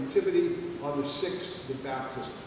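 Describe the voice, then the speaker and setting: A man talks at a fairly slow pace with ordinary pitch variation. Noticeable background noise and strong room echo fill the recording. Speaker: Orthodox priest. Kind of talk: sermon. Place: church. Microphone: camera far.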